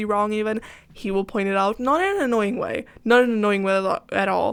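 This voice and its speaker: Speaking in a Swedish accent, a woman keeps a moderate pace, a medium pitch and ordinary pitch variation. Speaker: gaming YouTuber. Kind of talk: casual chat over speed build. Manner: rambling, hesitant with many ums.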